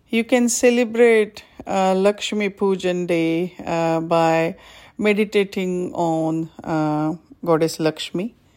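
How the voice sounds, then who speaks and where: A woman talks very slowly with ordinary pitch variation, on a very clean recording with a silent background. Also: medium pitch for a woman. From India. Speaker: yoga and meditation teacher. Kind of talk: podcast talk. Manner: halting, many fillers.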